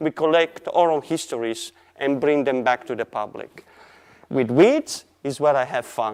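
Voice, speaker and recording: A man speaking at a fairly slow pace with an Italian accent. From Italy. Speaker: artist. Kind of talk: presentation. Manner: halting.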